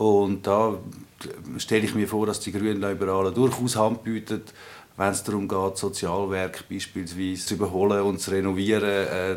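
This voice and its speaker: This man talks in a monotone with flat intonation. His pitch sits fairly low. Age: 40s. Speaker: politician. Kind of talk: interview.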